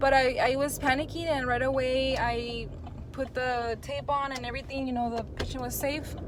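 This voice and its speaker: Loud and high-pitched, a woman speaks at a moderate pace amid noticeable background noise and audible room echo. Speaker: phlebotomist and YouTuber. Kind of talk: casual vlog talk to camera. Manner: animated.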